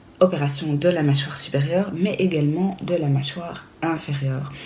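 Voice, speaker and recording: A woman speaks at a moderate pace with a very deep, low pitch, and the room echo is audible. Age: 30s. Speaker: vlogger. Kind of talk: casual vlog talk. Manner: hesitant, many fillers.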